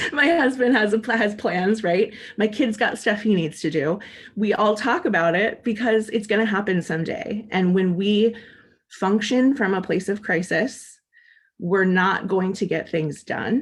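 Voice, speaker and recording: A woman's medium-pitched voice with an American accent, ordinary pitch variation and very even loudness, at a fairly slow pace against a quiet background. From US Pacific Northwest (Portland, Oregon). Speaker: death doula and special ed teacher. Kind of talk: panel discussion. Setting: webinar video call. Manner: loud and boisterous.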